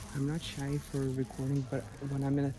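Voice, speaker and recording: A man talks in a soft-spoken way. There is audible room echo. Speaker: travel vlogger. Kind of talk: casual vlog narration. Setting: outdoors at a temple. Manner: quiet, soft-spoken.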